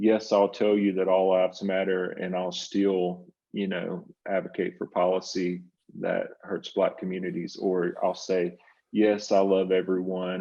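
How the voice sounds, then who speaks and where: A man speaks with a Southern US accent in a very deep, low voice. His delivery is fairly slow and monotone, with flat intonation. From US South. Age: 60s. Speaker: psychotherapist and writer. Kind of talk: interview conversation.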